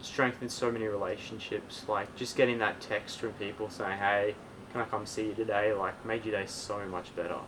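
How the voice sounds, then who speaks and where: Over noticeable background noise, a man talks at a fairly quick pace in a fairly low voice with monotone, flat intonation. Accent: Australian. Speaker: podcast guest. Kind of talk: casual chat.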